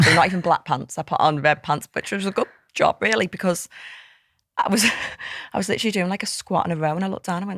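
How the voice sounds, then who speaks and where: Speaking very fast at a medium pitch with a Liverpool accent, a woman takes long, frequent pauses in a dry, close recording with no echo, very clean and with a silent background. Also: ordinary pitch variation. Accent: Liverpool (Scouse) English. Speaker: fitness coach and app co-founder. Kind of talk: casual chat. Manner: loud; animated.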